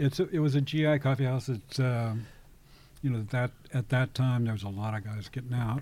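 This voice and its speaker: A man with an American accent speaks at a fairly quick pace in a dark, mellow tone. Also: medium pitch for a man, ordinary pitch variation. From Kansas City area, US Midwest. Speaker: activist and war veteran. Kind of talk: interview conversation. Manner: halting.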